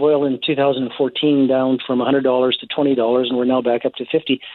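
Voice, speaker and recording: This man has an ordinary speaking voice with a fairly high pitch. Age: 60s. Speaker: investment firm head, former political candidate. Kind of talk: radio interview.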